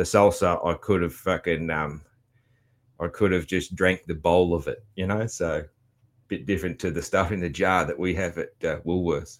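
In an Australian accent, a man with a very deep, low pitch talks at a moderate pace with fairly even intonation on a very clean recording with a silent background. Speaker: podcast host. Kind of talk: casual monologue recap. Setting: home studio. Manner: halting, many fillers.

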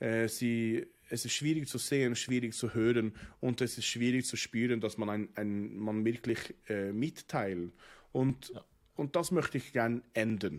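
A man speaks at a fairly slow pace in a medium pitch, with ordinary pitch variation. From Norway, Oslo. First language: Norwegian (speaking German). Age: 30s. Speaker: rabbi. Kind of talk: casual interview. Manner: halting, many hesitations.

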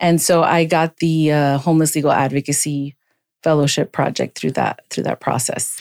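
In a very clean recording with a silent background and a dry, close sound with no echo, a woman with an American accent speaks at a moderate pace in a very deep, low voice, in a flat monotone with very even loudness. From Miami, Florida. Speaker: legal aid director. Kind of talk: podcast interview.

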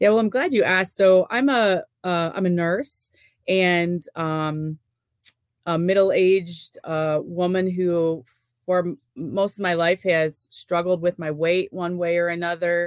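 Here a woman has an unremarkable speaking voice at a fairly low pitch. She talks at a fairly slow pace. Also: ordinary pitch variation. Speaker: nurse and youth sports event organizer. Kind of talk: casual interview.

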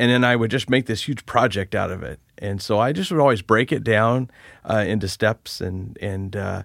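A man speaks at a moderate pace with ordinary pitch variation and vocal fry, his voice fairly low with a fairly bright tone. The recording is very clean, with a silent background.

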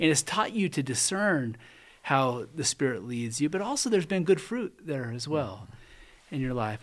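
A man talks at a moderate pace in an ordinary speaking voice. The recording is very clean, with a silent background. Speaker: church men's pastor and podcast host. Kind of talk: interview, conversational.

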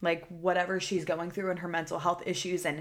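Using a plain, everyday voice, a woman with an American accent speaks at a fairly quick pace and a fairly low pitch. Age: 20s. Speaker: podcast host. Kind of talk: casual monologue. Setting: solo recording. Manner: casual, filler-heavy.

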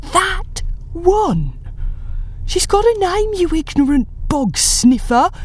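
In a put-on character voice, a female-sounding speaker hisses at an extremely high pitch, moving at a very slow pace with long, frequent pauses. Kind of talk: insulting. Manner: hissing.

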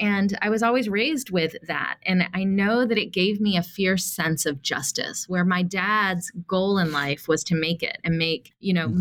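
This woman has a normal speaking voice with an American accent, medium pitch and ordinary pitch variation, talking at a moderate pace with hardly any pauses and very even loudness. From US South, Atlanta, Georgia. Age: 40s. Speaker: nonprofit CEO and activist. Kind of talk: interview.

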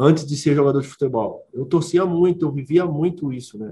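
Speaking fairly quickly, this man has a fairly high voice whose pitch varies normally. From Belo Horizonte, Brazil. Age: 30s. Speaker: professional footballer. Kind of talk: interview. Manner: halting, many repetitions and fillers.

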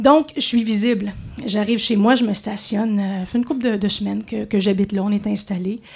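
A somewhat breathy woman's voice, fairly high in pitch, at a moderate pace. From Montreal. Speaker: radio host. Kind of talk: storytelling. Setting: stage with audience.

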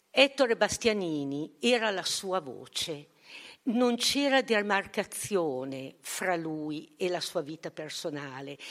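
Very slowly and with very wide pitch swings, a woman speaks at a fairly low pitch on a very clean recording with a silent background. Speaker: philosophy and history teacher and author. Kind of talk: conference talk. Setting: conference hall.

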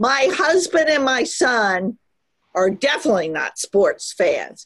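In an American accent, the speaker talks at a very slow pace with very wide pitch swings. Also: woman. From US South (Virginia). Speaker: university researcher and society president. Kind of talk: casual interview.

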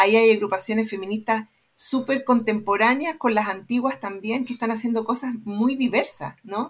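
A woman's somewhat breathy, fairly high-pitched voice at a fairly quick pace, with ordinary pitch variation. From Chile, Santiago. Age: 50s. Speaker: sociologist and research center director. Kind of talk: panel discussion.

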